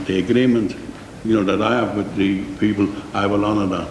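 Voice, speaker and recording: With a Liverpool accent, a man talks at a moderate pace in a fairly low pitch, with audible room echo and noticeable background noise. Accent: Scouse (Liverpool). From Liverpool, England. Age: 60s. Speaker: company manager giving evidence. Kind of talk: committee testimony. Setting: parliamentary committee room. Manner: halting.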